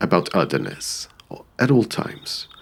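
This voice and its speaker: The recording has noticeable background noise. A man talks at a moderate pace. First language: not English. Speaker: YouTuber, commentary creator. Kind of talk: personal video essay. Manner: reflective.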